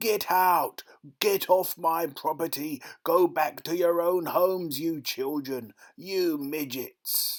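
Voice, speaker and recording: Shouting in a put-on character voice, a man speaks high and at a fairly slow pace on a very clean recording with a silent background. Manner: furious shouting.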